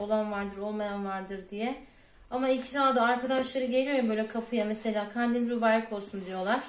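A woman with a fairly high pitch and fairly even intonation talks at a moderate pace, with audible room echo and light background noise. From Turkey. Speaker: cooking vlogger. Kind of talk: cooking tutorial. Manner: casual, chatty. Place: kitchen. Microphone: phone near.

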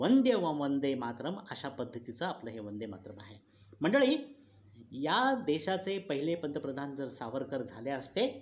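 Lively intonation and big swings in loudness mark this man's fairly high-pitched voice. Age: 60s. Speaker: speech contest participant; political commentator. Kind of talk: contest oration. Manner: declamatory. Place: home room. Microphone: phone near.

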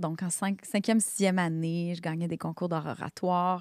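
A Quebec accent at a fairly slow pace, with a dry sound, no echo and a quiet background. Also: woman. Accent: Québécois French. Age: 40s. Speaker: therapist, coach and singer; coach. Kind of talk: interview, life story. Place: studio. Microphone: studio mic.

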